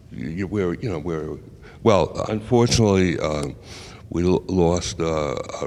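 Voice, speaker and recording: This man's voice is very deep and low, with vocal fry. He talks at a fairly slow pace with ordinary pitch variation. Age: 80s+. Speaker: bridge player. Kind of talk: casual interview. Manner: halting, many repetitions.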